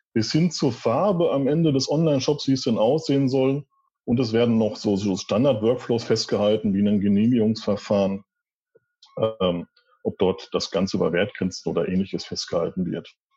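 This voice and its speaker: Music plays in the background as a man at a medium pitch speaks at a moderate pace. His intonation is lively and his loudness very even. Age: 40s. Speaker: department head at a wholesale company. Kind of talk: interview. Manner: formal.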